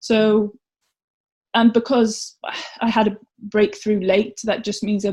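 The voice has a dark, mellow tone, sounds somewhat breathy, and carries a Welsh accent. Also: woman. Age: 30s. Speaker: competitive swimmer. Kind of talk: casual interview.

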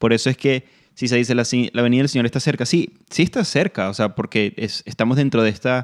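A man talks at a very fast pace in a medium pitch with ordinary pitch variation, his voice dry and close with no echo on a very clean recording over a silent background. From Venezuela. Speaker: Bible teacher and ministry director. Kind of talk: Bible teaching in radio conversation. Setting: radio program.

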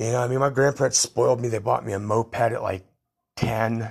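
A somewhat breathy man's voice at a fairly low pitch and a very fast pace. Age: 50s. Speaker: podcaster telling life stories. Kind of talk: solo autobiographical monologue. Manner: casual, rambling with fillers.

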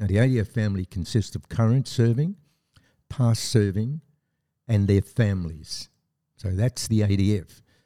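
With an Australian accent, a man speaks at a moderate pace with long, frequent pauses, his fairly low pitch carrying a dark, mellow tone and ordinary variation, in a dry, close recording with no echo that is very clean over a silent background. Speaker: army veteran. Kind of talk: interview.

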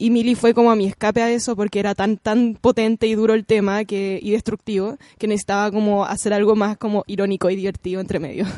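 Speaking very fast in a flat monotone, a woman with a dark, mellow tone is heard in a dry, close sound with no echo. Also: medium pitch for a woman, quiet background. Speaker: illustrator and author. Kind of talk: interview. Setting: studio.

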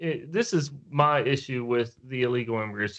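This man speaks in a medium pitch with an American accent. His pitch varies in an ordinary way, and the background is quiet. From West Virginia. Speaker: podcast co-host, builder. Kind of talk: casual chat.

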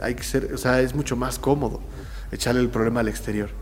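A man with a Mexican accent speaks at a moderate pace, with audible room echo. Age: 40s. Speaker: muralist and graphic artist. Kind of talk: interview. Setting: his art studio.

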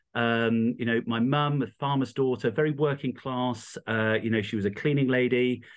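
A man with a medium pitch and an East Midlands accent, at a moderate pace with hardly any pauses, very even loudness and fairly even intonation. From England, Rutland (East Midlands). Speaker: charity founder and entrepreneur. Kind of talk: interview. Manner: hesitant, many fillers.

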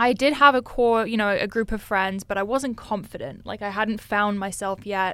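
With an American accent, a plain, everyday voice moves at a moderate pace with ordinary pitch variation in a very clean recording over a silent background. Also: woman, fairly high pitch for a woman, hardly any pauses. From Switzerland and US (Westchester, New York). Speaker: fitness influencer. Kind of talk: casual interview chat.

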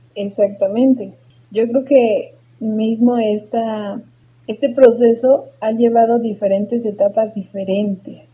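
A woman's somewhat breathy, dark, mellow voice at a fairly high pitch, with monotone, flat intonation and a very slow pace. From Mexico, Tulancingo, Hidalgo. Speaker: psychologist and podcast co-host. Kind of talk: casual chat.

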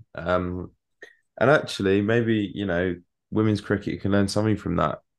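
A man with an English accent, fairly low in pitch, at a moderate pace with fairly even intonation over a quiet background. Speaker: cricket podcast co-host. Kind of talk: casual chat.

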